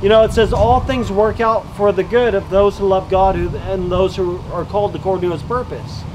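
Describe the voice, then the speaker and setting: Over noticeable background noise, a man talks at a moderate pace with a high pitch and ordinary pitch variation. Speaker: street preacher. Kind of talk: sermon. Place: open country. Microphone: camera far.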